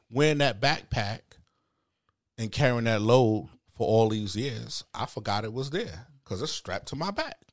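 With a Bronx accent, a man talks at a medium pitch with ordinary pitch variation. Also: moderate pace. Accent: New York, Bronx. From the Bronx, New York. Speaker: guest. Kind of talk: casual chat. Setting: studio.

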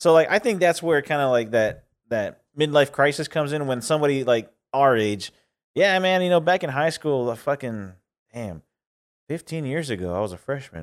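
In a very clean recording with a silent background, a man with an unremarkable speaking voice talks at a moderate pace. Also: fairly high pitch for a man, lively intonation. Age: 30s. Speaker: podcast co-host. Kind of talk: casual chat.

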